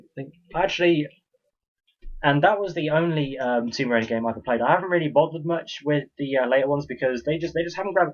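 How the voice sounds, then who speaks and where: Very fast speech from a man, fairly high in pitch, with ordinary pitch variation. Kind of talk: casual talk to camera.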